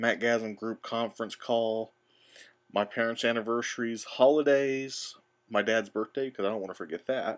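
A man's medium-pitched voice at a moderate pace with fairly even intonation, on a very clean recording with a silent background. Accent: slight Southern US. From Missouri. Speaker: tech podcaster. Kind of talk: screencast tutorial.

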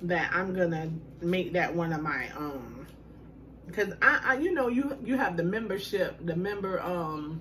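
Over light background noise, a woman speaks fairly slowly at a fairly low pitch. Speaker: food vlogger. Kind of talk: casual vlog chat. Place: home room. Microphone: phone near.

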